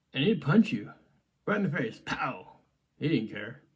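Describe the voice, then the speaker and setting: Lively intonation marks a man's speech at a fairly slow pace. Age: 60s. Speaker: martial arts grandmaster and podcast host. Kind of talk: casual reminiscing monologue. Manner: hesitant, many fillers.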